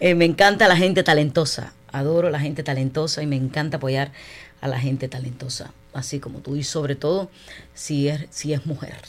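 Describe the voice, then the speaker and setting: Here a woman talks at a fairly quick pace. Her pitch is very deep and low, and her intonation stays fairly even. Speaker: radio host. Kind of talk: radio interview.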